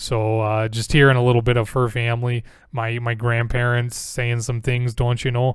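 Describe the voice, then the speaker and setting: A man with a medium-pitched voice talks at a moderate pace on a very clean recording with a silent background. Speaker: podcaster talking about roleplay games. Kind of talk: casual monologue with character voice demos.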